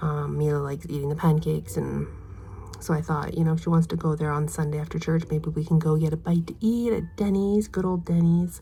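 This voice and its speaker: A woman speaks with a very deep, low pitch and a dark, mellow tone. She is soft-spoken and somewhat breathy. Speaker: mom vlogger. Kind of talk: casual chat. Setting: at home, cleaning daughter's room. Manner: quiet, soft-spoken; fast.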